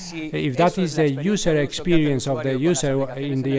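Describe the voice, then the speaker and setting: Man's voice with fairly even intonation over noticeable background noise. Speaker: conference panelist. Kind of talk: conference presentation. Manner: halting.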